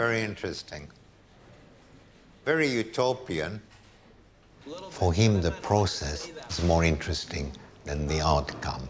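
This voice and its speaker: Over noticeable background noise, a man talks at a fairly slow pace with long, frequent pauses. His very deep, low voice carries lively intonation. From Hungary, then Paris as a child. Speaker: art curator. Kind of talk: documentary interview; casual chat.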